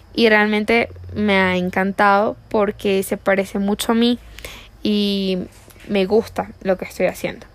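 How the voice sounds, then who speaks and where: In a flat, monotone delivery, a woman with a medium-pitched voice speaks at a fairly slow pace. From Venezuela, La Guaira. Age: 20s. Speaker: virtual assistant. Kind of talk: self-introduction video.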